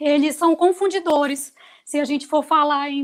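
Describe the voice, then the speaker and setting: A woman speaks at a moderate pace in a high pitch. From Brazil, Amazonas (Manaus). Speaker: university professor, pharmacist. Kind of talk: course welcome introduction. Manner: conversational, filler-heavy.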